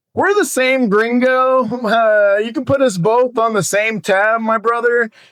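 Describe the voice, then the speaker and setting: Putting on a character voice, a man speaks at an extremely high pitch and a fairly slow pace, with ordinary pitch variation and very even loudness. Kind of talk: exaggerated.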